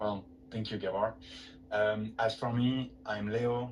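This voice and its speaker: Lively intonation marks a man's fairly low voice, heard in a French accent. Noticeable background noise runs underneath. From France. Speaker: webinar host. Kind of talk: webinar presentation.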